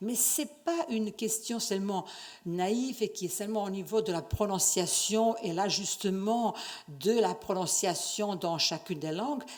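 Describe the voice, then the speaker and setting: A woman speaks with a non-native accent at a fairly slow pace, her medium pitch carrying lively intonation. Audible room echo surrounds her voice. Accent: foreign accent in French. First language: not French (speaking French). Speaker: university researcher, conference speaker. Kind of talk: conference lecture. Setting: conference stage with audience. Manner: hesitant, many fillers and restarts.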